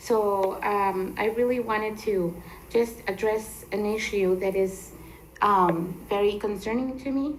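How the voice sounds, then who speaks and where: The speaker talks at a fairly slow pace with fairly even intonation, in a Spanish accent. Audible room echo surrounds the voice. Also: woman. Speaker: resident giving public comment. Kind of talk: public comment at council meeting. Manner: halting, many fillers.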